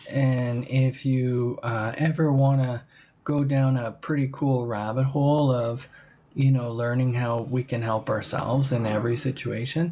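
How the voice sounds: Fairly even intonation and a fairly slow pace carry a dark, mellow tone.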